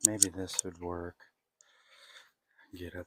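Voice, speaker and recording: Very deep and low, a man's soft-spoken, somewhat breathy voice moves with fairly even intonation in a dry, close recording with no echo. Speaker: custom helmet painter. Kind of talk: tutorial. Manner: halting.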